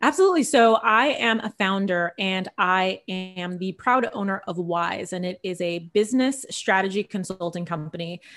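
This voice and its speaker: A woman of medium pitch with an American accent speaks in a normal speaking voice at a moderate pace, with ordinary pitch variation and hardly any pauses, on a very clean recording with a silent background. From California, Central Valley (Visalia). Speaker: business founder and strategist. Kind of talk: podcast interview.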